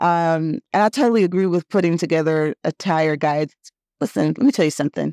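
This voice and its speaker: An unremarkable speaking voice with an American accent moves at a moderate pace with lively intonation, the sound dry and close with no echo on a very clean recording with a silent background. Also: woman. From US West Coast, Oakland (Bay Area). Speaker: business consultant. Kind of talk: casual chat.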